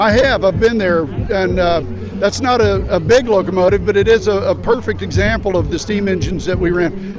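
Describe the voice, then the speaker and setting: A man with an American accent speaks very fast while noticeable background noise carries on. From Kansas. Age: 60s. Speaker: political candidate. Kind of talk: street interview.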